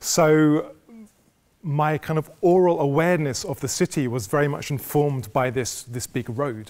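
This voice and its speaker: The background is quiet while a man's pitch shifts in an ordinary way. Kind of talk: lecture. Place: hall. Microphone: lapel.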